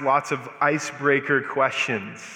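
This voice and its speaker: A man with an American accent in a flat monotone, over noticeable background noise. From US Southwest, Albuquerque, New Mexico. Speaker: guest preacher. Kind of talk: sermon. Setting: church.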